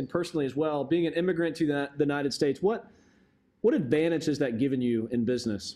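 Talking at a very fast pace, a man with a dark, mellow tone uses lively intonation. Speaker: podcast host. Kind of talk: interview.

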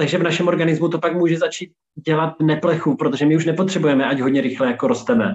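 Talking at a very fast pace, a man with a fairly high pitch keeps very even loudness and ordinary pitch variation. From Czechia, Olomouc. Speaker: healthy lifestyle consultant and chef. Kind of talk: interview. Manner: casual, filler-heavy.

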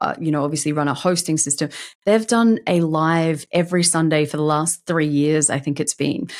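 A woman with an Australian accent in a very clean recording with a silent background. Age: 40s. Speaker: LinkedIn marketing consultant. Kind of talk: interview.

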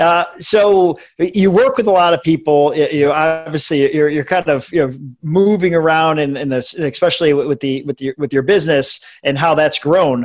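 With an energetic tone, a man speaks at a moderate pace in a fairly high pitch and ordinary pitch variation. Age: 40s. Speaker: podcast host. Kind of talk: interview. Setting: video call.

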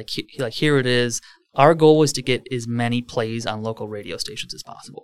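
The voice is a normal speaking voice with fairly even intonation and big swings in loudness. The sound is dry and close, with no echo. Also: man. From Wisconsin, Lake Country area near Milwaukee. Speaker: real estate team leader. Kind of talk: casual interview.

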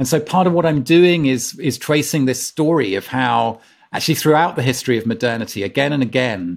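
A man with an English accent and a medium pitch speaks at a moderate pace with lively intonation on a very clean recording with a silent background. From England. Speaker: author and former climate campaigner. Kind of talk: casual chat.

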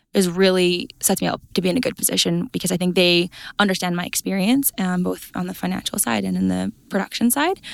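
Speaking fairly quickly, a woman talks with an Albertan accent. The recording is very clean with a silent background, and the sound is dry and close with no echo. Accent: Canadian (Alberta). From central Alberta, Canada. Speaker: agricultural account manager and cattle producer. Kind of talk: interview. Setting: conference.

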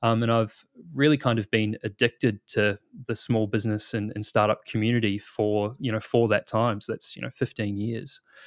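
A man with a New Zealand accent speaks at a moderate pace and a medium pitch, with fairly even intonation. The sound is dry and close with no echo, and the recording is very clean with a silent background. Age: 30s. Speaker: product manager. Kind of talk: interview. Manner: casual.

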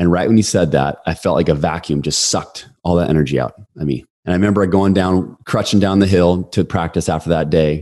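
Talking at a fairly quick pace, a man uses a very deep, low pitch with a dark, mellow tone. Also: fairly even intonation. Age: 40s. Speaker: sales and leadership coach, author. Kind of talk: casual chat.

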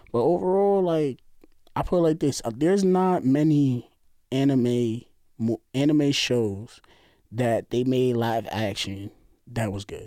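In a very clean recording with a silent background, a man with a New York accent speaks at a medium pitch in a dark, mellow tone. He moves at a fairly slow pace with long, frequent pauses and lively intonation. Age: 30s. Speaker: co-worker of host. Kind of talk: casual chat.

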